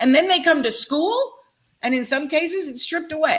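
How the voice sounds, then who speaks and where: The pace of this woman's speech is fairly quick. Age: 60s. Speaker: talk show host, education consultant. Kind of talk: panel discussion.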